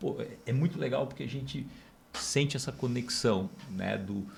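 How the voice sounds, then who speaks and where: With very wide pitch swings, a man keeps a moderate pace as background noise remains noticeable. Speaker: podcast host. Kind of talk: podcast conversation.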